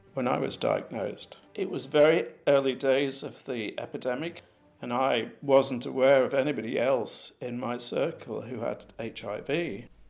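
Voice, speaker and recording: A man speaks in an ordinary speaking voice at medium pitch and moderate pace, with ordinary pitch variation. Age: 60s. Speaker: person living with HIV. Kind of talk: testimony.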